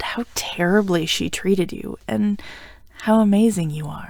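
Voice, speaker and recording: This is a woman with a normal speaking voice. She talks at a fairly slow pace with ordinary pitch variation. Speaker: voice actor, audio roleplay performer. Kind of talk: audio roleplay, scripted romantic ASMR. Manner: warm, playful, comforting, affectionate.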